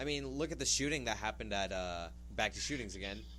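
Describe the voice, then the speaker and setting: A man speaks in an animated tone, with audible echo from the room. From California. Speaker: podcast co-host. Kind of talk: casual chat.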